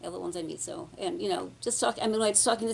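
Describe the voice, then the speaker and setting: Lively intonation and vocal fry mark this woman's speech. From New York. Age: 70s. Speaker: war veteran. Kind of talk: interview. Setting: library.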